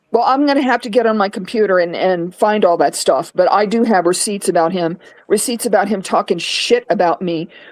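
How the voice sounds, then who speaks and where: A woman talks at a medium pitch and a fairly quick pace, with ordinary pitch variation and hardly any pauses. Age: 60s. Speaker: Navy veteran and online content creator. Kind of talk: casual group chat on a live stream. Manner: animated.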